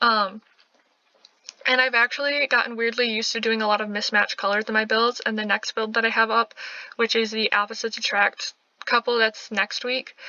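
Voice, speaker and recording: A woman talks at a fairly quick pace. Her fairly high voice stays in a flat monotone. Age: 20s. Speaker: gaming youtuber. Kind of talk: casual let's play chat. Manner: fast.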